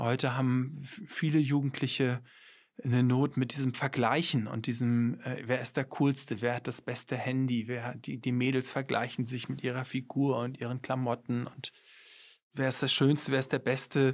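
A man at medium pitch speaks at a moderate pace in a monotone, flat intonation. The recording is very clean, with a silent background. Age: 50s. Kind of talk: interview.

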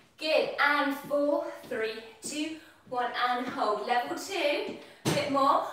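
Heavy room echo surrounds a woman whose high-pitched voice moves at a very slow pace. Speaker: fitness instructor. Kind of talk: workout class instruction. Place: kitchen. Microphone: camera far.

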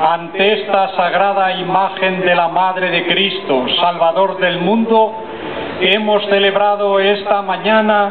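Loud background noise fills the clip. A man speaks at a very slow pace. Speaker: bishop leading prayer. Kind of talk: read liturgical prayer. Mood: solemn devout. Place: street.

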